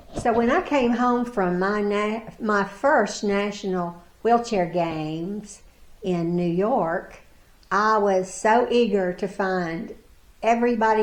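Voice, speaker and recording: In an American accent, a woman speaks at a very slow pace with fairly even intonation. Audible room echo surrounds her voice. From US South, Pulaski County, Virginia. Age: 70s. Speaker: para-athlete. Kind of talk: interview. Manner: halting.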